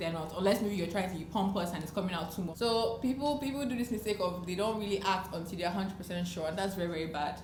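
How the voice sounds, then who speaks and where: A woman's animated, very fast talk at a medium pitch, with ordinary pitch variation and hardly any pauses, amid noticeable background noise and audible room echo. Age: 20s. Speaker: lifestyle vlogger. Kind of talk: advice talk to camera.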